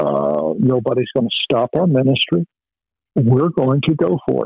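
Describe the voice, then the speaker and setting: A man speaks in a plain, everyday voice. His pace is moderate and his pitch medium. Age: 60s. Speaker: ministry leader. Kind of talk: casual interview. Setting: phone call.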